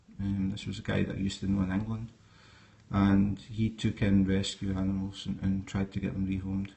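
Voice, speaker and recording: With a Scottish accent, a man speaks at a moderate pace in a somewhat breathy voice of fairly low pitch. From Scotland. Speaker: snake keeper. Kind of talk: live stream talk. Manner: hesitant, many fillers.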